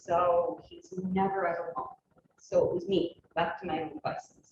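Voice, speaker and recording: Fairly low-pitched, somewhat breathy woman's voice in a flat monotone at a moderate pace. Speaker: panelist sharing lived experience of homelessness. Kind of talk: personal testimony. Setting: panel discussion with audience.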